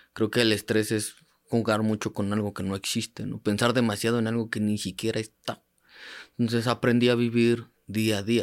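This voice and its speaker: Against a silent background in a very clean recording, a man speaks at a moderate pace with a medium pitch and monotone, flat intonation. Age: 30s. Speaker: paralympic athlete and sports coach. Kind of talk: interview testimony.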